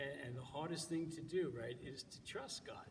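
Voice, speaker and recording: A man with an American accent, fairly high in pitch, with ordinary pitch variation and audible room echo. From New York. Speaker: church organist giving devotions. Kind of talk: devotional talk. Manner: halting, many fillers.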